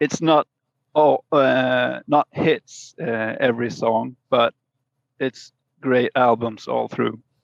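A man at a very slow pace, in a Swedish accent. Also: dry, close sound with no echo. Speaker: musician. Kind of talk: casual chat. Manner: halting.

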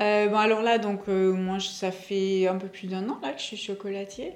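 A woman talks fairly slowly at a medium pitch, with audible room echo and noticeable background noise. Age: 40s. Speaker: chocolatier. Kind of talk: casual interview chat.

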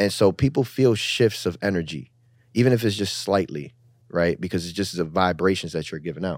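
On a very clean recording with a silent background, a man with a very deep, low voice speaks at a fairly quick pace with lively intonation. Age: 30s. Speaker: podcast host. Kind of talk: casual chat.

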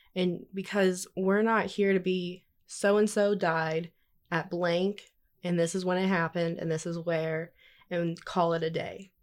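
Against a silent background in a very clean recording, a woman speaks at a fairly slow pace with monotone, flat intonation. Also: medium pitch for a woman. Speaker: student journalist, news editor. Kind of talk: casual chat.

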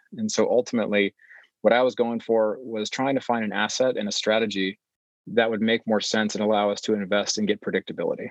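The speaker has a West Coast US accent and talks at a very fast pace. The intonation is monotone and flat, and the sound is dry and close with no echo. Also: man, medium pitch for a man. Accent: General American, West Coast. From California, Bay Area. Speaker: real estate investor. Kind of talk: interview. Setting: remote recording, not in office. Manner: halting, frequent filler words.

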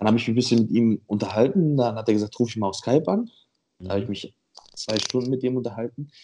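The man's voice is medium in pitch, with a dark, mellow tone. He speaks at a very fast pace with ordinary pitch variation. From Montenegro. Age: 20s. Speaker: bodybuilder. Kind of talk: casual chat.

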